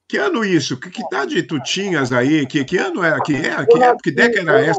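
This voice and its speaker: Lively intonation runs through a high-pitched man's very fast delivery. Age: 70s. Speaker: program host. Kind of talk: casual interview. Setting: live broadcast.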